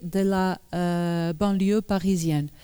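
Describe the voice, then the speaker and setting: On a very clean recording with a silent background, a woman speaks at a very slow pace in a dark, mellow tone. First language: Portuguese (speaking French). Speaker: journalist and author giving a talk. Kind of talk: public lecture. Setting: conference hall with audience. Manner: halting, many hesitations.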